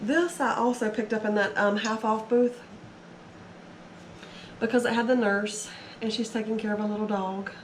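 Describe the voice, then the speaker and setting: Over noticeable background noise, a woman talks at a moderate pace with long, frequent pauses. Her pitch is fairly high and her intonation fairly even. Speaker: eBay reseller. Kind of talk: casual haul video talk to camera.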